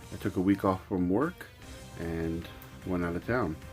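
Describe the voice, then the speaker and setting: A man at a moderate pace over music in the background. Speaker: video game collector. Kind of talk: casual talk to camera.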